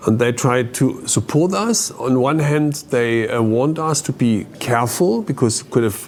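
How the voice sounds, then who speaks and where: Against noticeable background noise, a man talks at medium pitch with ordinary variation, very even loudness, a fairly slow pace and hardly any pauses. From East Germany. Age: 60s. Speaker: former East German refugee. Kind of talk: testimony. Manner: halting, many fillers.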